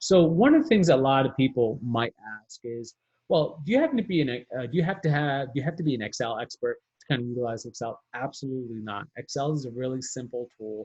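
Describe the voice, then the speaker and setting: A man's somewhat breathy voice at a very fast pace, with ordinary pitch variation. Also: medium pitch for a man, big swings in loudness. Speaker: workshop presenter. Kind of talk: webinar tutorial. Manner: halting, many fillers.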